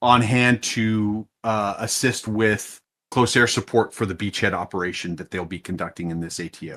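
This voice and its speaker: A bright, sharp tone with an American accent, big swings in loudness, ordinary pitch variation and a moderate pace, on a very clean recording with a silent background. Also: man, fairly low pitch for a man. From US. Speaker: flight sim mission commander. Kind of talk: mission briefing.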